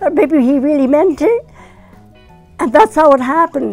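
Faint music plays behind a woman with a high voice. She speaks at a fairly slow pace with very wide pitch swings. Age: 80s+. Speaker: retired community volunteer and mother. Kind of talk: interview answer. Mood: warm, fond, animated. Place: home room.

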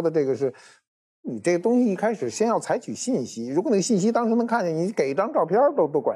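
The tone is dark and mellow, with very wide pitch swings at a fairly quick pace. The background is quiet. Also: man. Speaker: guest expert on archaeology. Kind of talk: casual chat. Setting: studio. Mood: calm, explanatory. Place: studio. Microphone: lapel.

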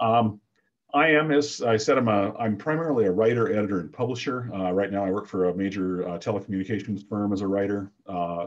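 A fairly low-pitched man at a fairly quick pace, with ordinary pitch variation. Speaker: consumer issues writer and consultant. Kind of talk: presentation. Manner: loud; halting.

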